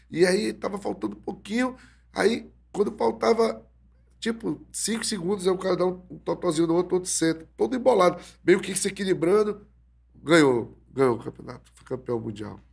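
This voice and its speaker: This man's high voice swings very widely in pitch and sharply in loudness as he speaks at a moderate pace. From Brazil. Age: 40s. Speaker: jiu-jitsu instructor. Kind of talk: casual interview. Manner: halting, repeated words. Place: studio. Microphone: studio mic.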